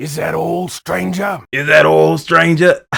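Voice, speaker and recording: Using a put-on character voice, a man sounds raspy and fairly high-pitched as he talks at a fairly slow pace. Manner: creepy, gravelly.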